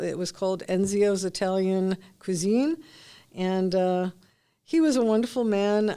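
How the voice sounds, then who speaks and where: A woman speaks with a Brooklyn accent at a medium pitch, with ordinary pitch variation. The recording is very clean, with a silent background. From New York City. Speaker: retired cancer research scientist. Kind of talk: oral history interview. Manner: hesitant, many fillers.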